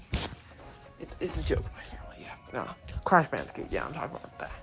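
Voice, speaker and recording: Music plays in the background as a woman whispers at a fairly quick pace, her loudness swinging widely. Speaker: video creator doing voice acting.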